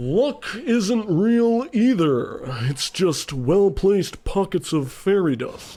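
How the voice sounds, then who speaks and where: A man puts on a character voice, pitched high. He talks at a very slow pace. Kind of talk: comic overacting in old-time radio style. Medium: audio drama. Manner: pompous, smug, know-it-all.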